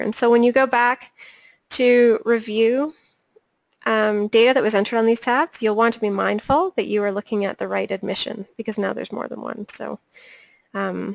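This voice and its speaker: A woman with a normal speaking voice and fairly high pitch talks at a moderate pace with fairly even intonation, in a dry, close sound with no echo. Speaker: webinar trainer. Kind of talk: tutorial. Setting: webinar.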